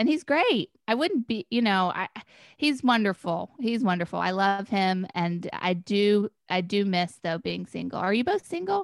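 With an American accent and a plain, everyday voice, a woman speaks at medium pitch with lively intonation and a fairly slow pace, in a very clean, dry, close recording with no echo and a silent background. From North Carolina (Chapel Hill). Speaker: podcast guest. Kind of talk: casual chat.

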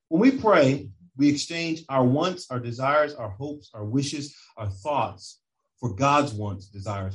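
Speaking at a fairly slow pace, a man with a medium-pitched, somewhat breathy voice sounds animated, his intonation lively. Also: big swings in loudness. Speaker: preacher. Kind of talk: sermon. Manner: animated, full-flow preaching with building emphasis.

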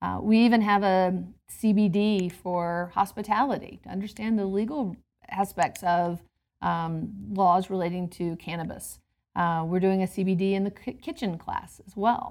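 A woman with an American accent has an ordinary speaking voice at a medium pitch, talking at a fairly slow pace with fairly even intonation. The recording is very clean, with a silent background. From US South, Georgia. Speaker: hospitality program leader at a university. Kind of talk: interview. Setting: quiet indoor space on a campus.

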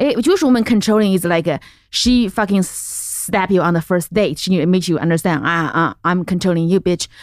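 A woman with a Chinese accent speaks at a fairly quick pace and medium pitch, with ordinary pitch variation, very even loudness and hardly any pauses, on a very clean recording with a silent background. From central China. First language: Mandarin Chinese. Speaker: comedian. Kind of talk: casual chat.

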